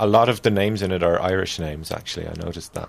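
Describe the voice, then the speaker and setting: With a very deep, low pitch, a man speaks at a very fast pace and with fairly even intonation amid noticeable background noise. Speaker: podcast co-host. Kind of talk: casual, profane.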